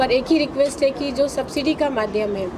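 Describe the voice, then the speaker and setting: The speaker has a Bihari accent, ordinary pitch variation and a moderate pace. Audible room echo and noticeable background noise are present. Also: woman. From India, Ballia (eastern Uttar Pradesh). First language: Bhojpuri (speaking Hindi). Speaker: film producer. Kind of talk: media interview. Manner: hesitant, frequent fillers.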